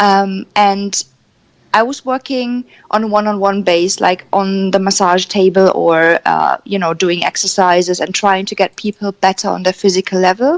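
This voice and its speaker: In a German accent, a woman speaks with fairly even intonation, the sound dry and close with no echo. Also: medium pitch for a woman, moderate pace. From Germany. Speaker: energy coach. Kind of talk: radio interview.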